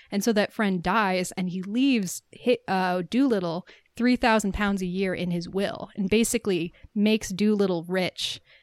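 In a very clean recording with a silent background and a dry, close sound with no echo, a woman with an American accent talks at a moderate pace and medium pitch in a normal speaking voice, her intonation fairly even. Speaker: podcast host. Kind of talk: casual chat about a film.

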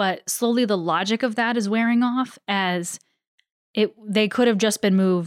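A woman talks at a fairly slow pace in an unremarkable speaking voice with ordinary pitch variation. The recording is very clean, with a silent background and a dry, close sound with no echo. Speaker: player in tabletop RPG.

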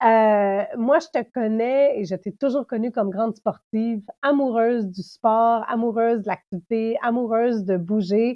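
A woman speaks at a fairly slow pace with a fairly high pitch, fairly even intonation and hardly any pauses. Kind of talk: casual interview.

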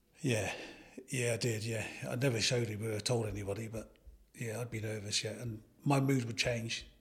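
Somewhat breathy and medium in pitch, a man speaks at a fairly quick pace with monotone, flat intonation and long, frequent pauses. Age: 60s. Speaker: retired footballer. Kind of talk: interview.

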